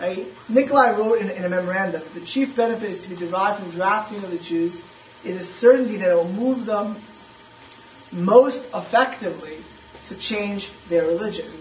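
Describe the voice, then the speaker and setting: With an American accent and a high pitch, a man speaks at a fairly quick pace, his loudness swinging widely and his pitch varying in an ordinary way, over noticeable background noise. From US East Coast. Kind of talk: lecture.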